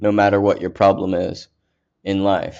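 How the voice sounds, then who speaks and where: A man speaks fairly slowly at a fairly low pitch. The background is quiet. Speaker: podcast host. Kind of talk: angry rant about homelessness and food waste. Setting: solo recording on a podcast app. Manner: heated, indignant, increasingly worked up; rambling, self-correcting, repeats words.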